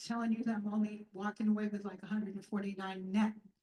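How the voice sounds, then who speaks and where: Fairly high in pitch, a woman's voice comes across somewhat breathy. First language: not English. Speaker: low-income tenant giving testimony. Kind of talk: testimony. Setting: community event with audience.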